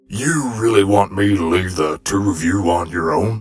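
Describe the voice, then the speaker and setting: Putting on a character voice, a man speaks at a moderate pace in a fairly low register. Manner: blunt, wry.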